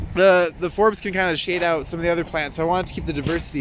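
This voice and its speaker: Against noticeable background noise, a man talks very fast in a high voice. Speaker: native plant gardener. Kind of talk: casual garden tour talk to camera. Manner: casual, rambling with fillers.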